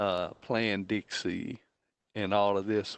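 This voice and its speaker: A man talks with an American accent. His pace is very slow. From Texas, Baytown area. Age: 60s. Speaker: school board trustee. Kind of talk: board meeting comments.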